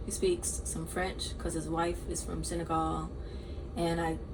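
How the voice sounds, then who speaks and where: A woman talks at a moderate pace. The recording has audible room echo and noticeable background noise. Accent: American. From Georgia, US (Augusta). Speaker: podcast host, university student. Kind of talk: casual chat.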